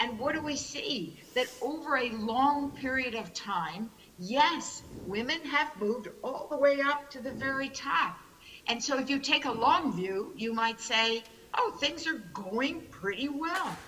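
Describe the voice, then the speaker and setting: A woman with a New York accent projects a raised, high-pitched voice. She speaks fairly slowly, with lively intonation. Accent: New York American. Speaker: keynote speaker, business consultant. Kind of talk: keynote speech.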